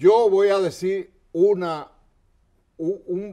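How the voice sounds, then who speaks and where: The background is quiet. A man speaks in a dark, mellow tone with lively intonation. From Dominican Republic, La Vega; Dominican Republic. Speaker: history TV show host. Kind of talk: TV interview. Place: studio. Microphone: lapel.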